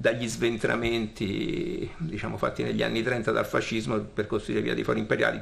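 This man speaks at a medium pitch with a fairly bright tone and vocal fry.

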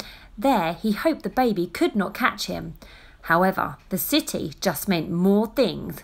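The clip has an unforced reading voice with lively intonation.

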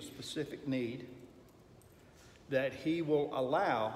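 With fairly even intonation, a man speaks amid light background noise and audible room echo. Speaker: Sunday school teacher. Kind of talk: lecture. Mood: thoughtful, reflective. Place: classroom. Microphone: camera far.

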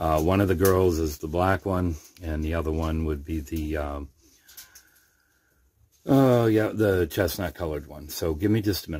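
Long, frequent pauses break up this man's very deep, low voice. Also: ordinary pitch variation, moderate pace. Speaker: rabbit breeder. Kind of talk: casual vlog chat. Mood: relaxed, friendly. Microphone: phone near.

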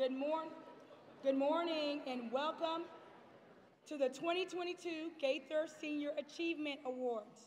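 A woman speaks at a fairly slow pace with high pitch and fairly even intonation. Light background noise sits behind her. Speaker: school guidance department head; ceremony host. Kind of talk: ceremony emcee speech. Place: hall.

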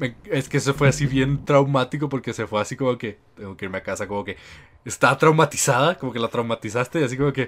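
With a Mexican accent, a man speaks at a very fast pace and medium pitch, his pitch varying in an ordinary way on a very clean recording with a silent background. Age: 20s. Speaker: podcast host. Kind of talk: casual chat.

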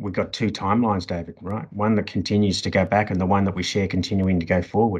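With an Australian accent, a man speaks at a fairly low pitch. His intonation is monotone and flat. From Sydney, Australia. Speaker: podcast guest. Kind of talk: interview. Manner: halting. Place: home room. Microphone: video call.

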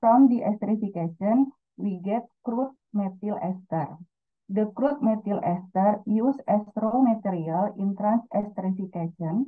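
A woman with an Indonesian accent speaks at a fairly slow pace with ordinary pitch variation. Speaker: student researcher. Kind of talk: conference presentation. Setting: video call.

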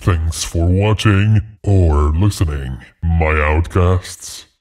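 In a put-on character voice, the speaker goes at a fairly slow pace on a very clean recording with a silent background. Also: man. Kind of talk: horror podcast host. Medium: read story. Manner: ominous, teasing.

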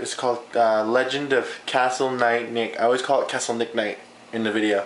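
A man speaks at a moderate pace with fairly even intonation, with audible room echo and light background noise. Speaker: vlogger. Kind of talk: casual vlog chat. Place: kitchen. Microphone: phone near.

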